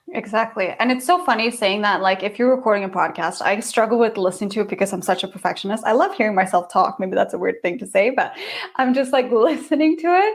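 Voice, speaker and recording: With noticeable background noise behind her, a woman with a non-native accent and a fairly high pitch talks at a very fast pace with lively intonation. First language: not English. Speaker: yoga teacher and podcaster. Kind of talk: casual chat.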